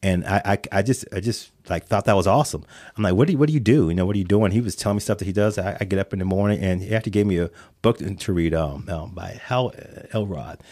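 Very fast and fairly low, a man speaks in a dark, mellow tone with ordinary pitch variation on a very clean recording with a silent background. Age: 40s. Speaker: financial services manager. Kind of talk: interview.

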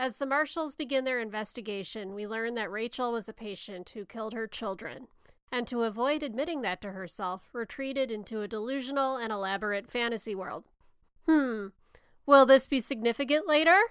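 A woman with a Chicago accent speaks at a fairly quick pace and fairly high pitch on a very clean recording with a silent background. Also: ordinary pitch variation. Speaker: podcast host. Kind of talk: casual chat.

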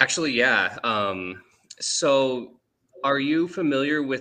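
At a very slow pace, a man speaks at medium pitch with a bright, sharp tone. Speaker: caller, churchgoer. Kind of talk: casual chat.

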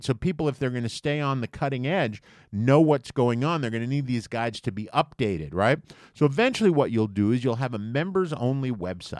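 A man with an American accent speaks in a normal speaking voice at medium pitch, with lively intonation and a fairly quick pace. The recording is very clean, with a silent background. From US Virgin Islands (St. Thomas), then New York. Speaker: comedy podcast co-host. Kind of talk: casual chat. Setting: studio.

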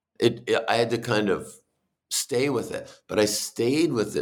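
A man with an American accent, medium-pitched with vocal fry, lively intonation and a fairly slow pace. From New Hampshire, US. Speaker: music writer. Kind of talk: interview.

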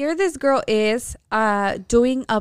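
On a very clean recording with a silent background, a woman speaks very slowly in a fairly high pitch. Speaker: podcast co-host. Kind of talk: casual chat. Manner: proper-sounding when speaking Spanish.

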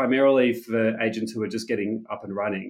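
Against a quiet background, a man speaks with an Australian accent at a medium pitch. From Australia, Sydney. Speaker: tech startup founder and CEO. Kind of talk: interview.

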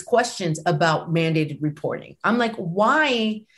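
Her voice somewhat breathy, a woman talks at a fairly slow pace with very wide pitch swings. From US mainland, Puerto Rican family. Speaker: professor. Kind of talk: interview.

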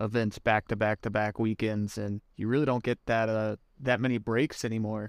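A man speaks with an American accent at medium pitch and a moderate pace, with fairly even intonation. The recording is very clean with a silent background and a dry, close sound with no echo. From US Midwest, southwest Missouri. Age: 30s. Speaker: professional disc golfer. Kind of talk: casual interview. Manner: hesitant, many fillers.

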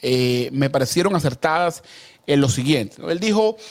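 Speaking with lively intonation, a man's voice sits at a fairly high pitch. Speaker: political commentator. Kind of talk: political debate show. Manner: animated.

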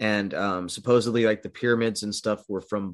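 Over a quiet background, a man in an ordinary speaking voice talks at a moderate pace with a fairly low pitch and fairly even intonation. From California. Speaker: podcast host, alternative history researcher. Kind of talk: casual interview chat.

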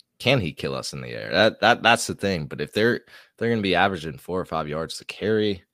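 A man with a very deep, low voice and vocal fry speaks with lively intonation, recorded very cleanly against a silent background with a dry, close sound and no echo. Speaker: sports podcast co-host. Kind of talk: casual chat.

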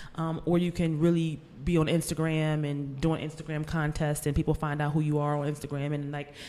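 Speaking very fast with a Philadelphia accent, a woman uses a very deep, low pitch and a monotone, flat intonation. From US, Philadelphia. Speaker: author. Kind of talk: casual interview.

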